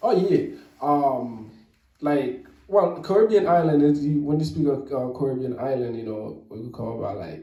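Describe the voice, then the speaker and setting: A man with a Haitian accent and a fairly high voice speaks at a moderate pace with lively intonation and big swings in loudness, amid audible room echo. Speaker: rapper. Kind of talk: casual interview. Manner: halting.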